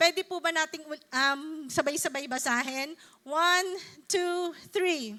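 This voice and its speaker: An extremely high-pitched woman's raised, projected voice, bright and sharp in tone, at a very slow pace with ordinary pitch variation. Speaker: preacher. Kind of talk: sermon.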